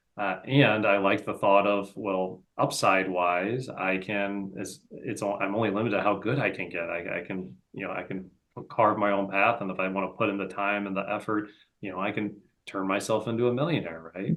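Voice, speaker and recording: A normal speaking voice from a man with an American accent, fairly low pitch, fairly even intonation, and a moderate pace. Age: 40s. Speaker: real estate entrepreneur. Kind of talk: interview. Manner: casual, many fillers and repetitions.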